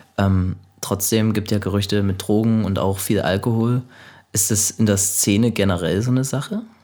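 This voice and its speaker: Fairly low and even in intonation, a man's voice carries a dark, mellow tone. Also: moderate pace, very even loudness, very clean recording, silent background. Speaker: podcast host. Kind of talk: casual interview. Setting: music studio lounge.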